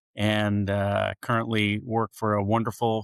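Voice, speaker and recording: A man speaks at a fairly low pitch and a fairly slow pace in a monotone, flat intonation. The recording is very clean, with a silent background and a dry, close sound with no echo. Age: 60s. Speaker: marketing executive and author. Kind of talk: podcast interview.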